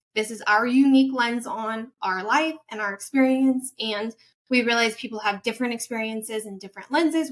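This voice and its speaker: This woman with an American accent has an unremarkable speaking voice, a fairly high pitch and a moderate pace. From United States. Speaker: podcast host. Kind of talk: podcast introduction.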